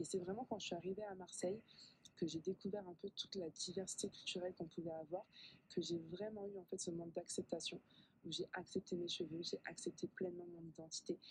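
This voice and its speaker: A woman speaks at medium pitch and a fairly quick pace. Her voice is somewhat breathy and her intonation monotone and flat. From southern France. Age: 20s. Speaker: pharmacist and skincare expert. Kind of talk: radio interview. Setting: radio studio.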